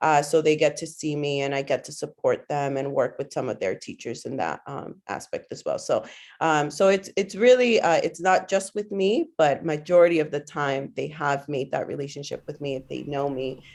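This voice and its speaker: A woman speaks with a Spanish accent, barely pausing at all. The background is quiet. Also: moderate pace. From Guatemala, came to US at seven. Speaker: teacher. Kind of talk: interview. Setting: podcast. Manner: hesitant, many fillers.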